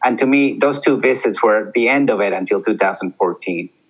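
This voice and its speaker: A man with a Spanish accent at a fairly slow pace. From Peru. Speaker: army veteran. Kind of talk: interview.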